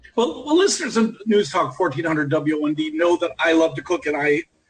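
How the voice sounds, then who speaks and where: Talking at a fairly quick pace, a man with a Buffalo accent uses lively intonation. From Buffalo, New York. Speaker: radio host. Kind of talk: radio interview.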